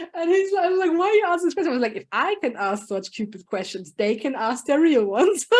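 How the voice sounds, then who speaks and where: This woman talks at a very fast pace in a high voice, her pitch swinging very widely. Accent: German. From Germany. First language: German. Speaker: project manager and business consultant. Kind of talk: podcast interview. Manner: animated.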